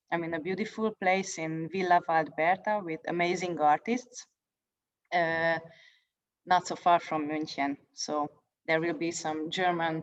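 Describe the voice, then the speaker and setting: Speaking fairly slowly in a Hungarian accent, a woman uses a fairly low pitch with ordinary pitch variation. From Hungary. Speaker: poet. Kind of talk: introduction before reading. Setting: video call. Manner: halting.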